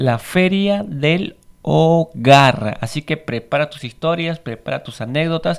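A man with a fairly high pitch speaks at a very slow pace, his loudness swinging widely. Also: ordinary pitch variation. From Peru. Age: 30s. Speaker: podcast host. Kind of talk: casual monologue. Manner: halting.

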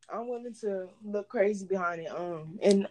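Moderate in pace, this is an ordinary speaking voice. The intonation is fairly even. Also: woman. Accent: American. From Texas, Houston area. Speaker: college student and entrepreneur. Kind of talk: casual chat.

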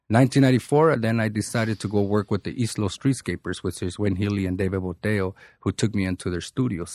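Over a silent background in a very clean recording, a man with an ordinary speaking voice talks at a fairly quick pace and fairly low pitch. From Boyle Heights, Los Angeles. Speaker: artist and substance abuse counselor. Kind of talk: casual interview.

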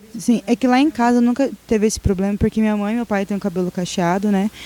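Speaking at a very fast pace, a woman with a fairly high pitch keeps her intonation fairly even. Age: 20s. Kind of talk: casual chat.

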